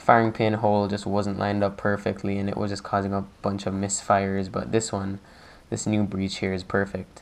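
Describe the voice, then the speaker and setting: Background noise is clearly audible. The talking proceeds at a moderate tempo. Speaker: hobbyist model maker. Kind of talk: tutorial. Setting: home, recording with action camera on box. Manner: casual, filler-heavy.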